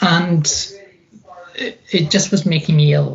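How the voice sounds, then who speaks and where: A woman with a Scottish accent speaks at a fairly slow pace against noticeable background noise. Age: 50s. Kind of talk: interview.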